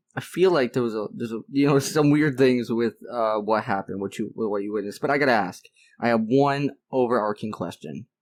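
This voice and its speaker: In a very clean recording with a silent background, a man speaks fairly quickly. He has a plain, everyday voice, medium in pitch with ordinary pitch variation. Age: 20s. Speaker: podcast interviewer. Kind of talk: casual interview chat.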